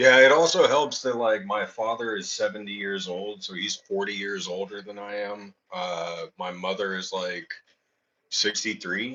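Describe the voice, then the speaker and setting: A man's fairly low voice at a fairly slow pace, with ordinary pitch variation. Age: 30s. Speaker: coin collecting livestreamer. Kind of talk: casual chat. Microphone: echo.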